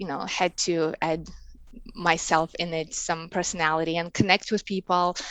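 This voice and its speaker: A woman with a Russian accent speaks in a fairly low voice, her intonation fairly even. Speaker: embroidery artist and online seller. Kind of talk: interview. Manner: halting, many fillers.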